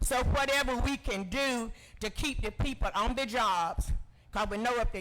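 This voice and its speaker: A raised, projected male voice with an American accent, a bright, sharp tone, ordinary pitch variation and a moderate pace. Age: 70s. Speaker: public commenter. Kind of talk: public comment at meeting. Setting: county commission meeting.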